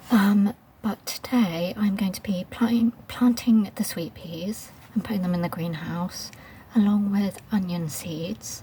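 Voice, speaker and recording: Soft-spoken and with a British accent, a woman speaks at a fairly slow pace with ordinary pitch variation. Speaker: gardening vlogger. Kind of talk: casual vlog narration. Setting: outdoors in garden. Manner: quiet, soft-spoken; hesitant, many fillers.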